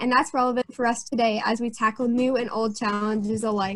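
A woman with an American accent talks in an ordinary speaking voice at a fairly high pitch and a fairly quick pace, with fairly even intonation. The sound is dry with no echo, and the background is quiet. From US Northeast. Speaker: student co-moderator. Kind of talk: scripted introduction. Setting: video call. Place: home room. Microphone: webcam.

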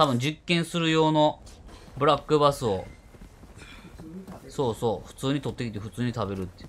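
A man with a Kansai accent talks at a fairly quick pace and a fairly high pitch, with lively intonation. His loudness swings widely, and he takes long, frequent pauses. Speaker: game streamer. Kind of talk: casual let's-play game commentary.

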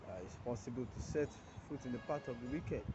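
A man's somewhat breathy voice comes through noticeable background noise. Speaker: preacher. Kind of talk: short devotional sermon. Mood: earnest, prayerful. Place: street. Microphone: phone near.

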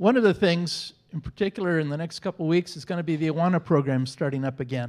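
His voice is high-pitched for a man, with ordinary pitch variation. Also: quiet background. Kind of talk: church announcements. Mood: warm, friendly. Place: church. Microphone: handheld.

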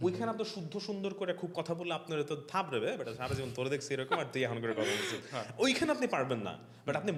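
Speaking with a high pitch, the man's voice moves in very wide pitch swings. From Bangladesh, Manikganj; Bangladesh. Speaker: content creator. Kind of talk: casual chat. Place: studio. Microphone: studio mic.

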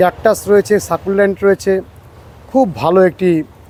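Over noticeable background noise, a man talks in a high voice with fairly even intonation. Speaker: YouTube gardening vlogger. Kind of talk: casual interview during nursery tour.

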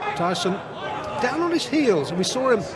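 A man speaks in an excited tone with very wide pitch swings, his sound dry with no echo and noticeable background noise behind him. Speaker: boxing commentator. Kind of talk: live ringside boxing commentary, blow-by-blow. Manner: measured analysis between exchanges, sudden excited bursts at knockdowns; animated.

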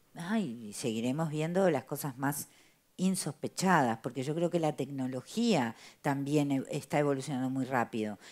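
A woman with a Uruguayan accent, very deep and low in pitch, with lively intonation at a moderate pace, in a very clean recording with a silent background. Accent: Rioplatense Spanish (Uruguayan). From Uruguay, Montevideo. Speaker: playwright and theatre director. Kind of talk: interview.

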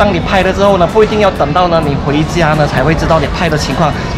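Over loud background music, a man speaks at a moderate pace with ordinary pitch variation. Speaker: food vlogger. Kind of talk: casual vlog chat. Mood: cheerful, relaxed. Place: market. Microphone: phone near.

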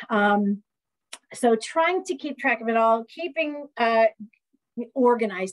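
Lively intonation marks this woman's fairly high voice, in an American accent, as she goes at a fairly slow pace with long, frequent pauses over a quiet background. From US Midwest. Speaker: community college professor; college professor. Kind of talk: lecture. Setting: video call. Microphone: webcam.

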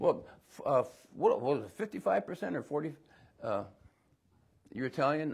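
At a very slow pace, a man speaks in a fairly high, somewhat breathy voice. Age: 70s. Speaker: pastor. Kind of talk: sermon. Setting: church. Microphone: lapel.

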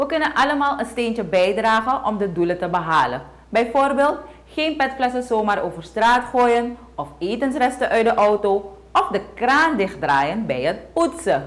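At a fairly slow pace, a woman speaks with a fairly high pitch that swings very widely. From Suriname. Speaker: news presenter. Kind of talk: news reading. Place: studio.

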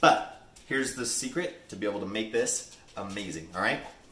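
A man is talking. Audible echo from the room hangs on his words. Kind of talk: tutorial. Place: kitchen.

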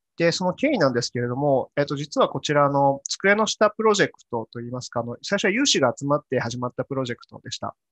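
Against a quiet background, a man with a fairly high pitch speaks at a very fast pace with hardly any pauses, lively intonation and big swings in loudness. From Japan, Yamanashi (Hokuto); Japan. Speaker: corporate engineer/business developer giving talk; presenter. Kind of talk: conference talk. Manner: halting, many fillers. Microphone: webcam.

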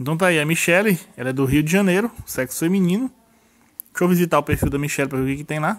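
This man speaks very fast in a fairly high pitch. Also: ordinary pitch variation. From Brazil, northern Minas Gerais (Januária). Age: 30s. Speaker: YouTube tutorial creator. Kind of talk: tutorial. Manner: casual, chatty.

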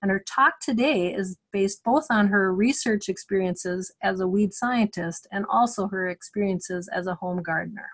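Ordinary pitch variation in a woman's somewhat breathy, medium-pitched speech. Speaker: webinar host. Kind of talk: webinar moderator introductions. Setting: video call webinar.

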